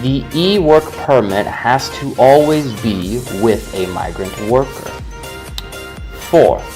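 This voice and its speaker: Music plays in the background. The speech goes at a very slow pace. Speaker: voice-over narrator. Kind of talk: government informational narration. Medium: animation voice-over.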